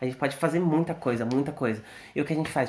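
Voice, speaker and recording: A man with a fairly high voice speaks with lively intonation and a somewhat breathy quality. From Brazil. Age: 20s. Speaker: podcast host, medical student. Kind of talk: casual chat.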